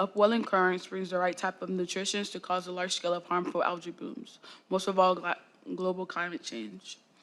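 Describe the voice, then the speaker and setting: A woman speaks in a plain, everyday voice at medium pitch. She talks fairly quickly with fairly even intonation. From Florida. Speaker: student. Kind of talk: student presentation.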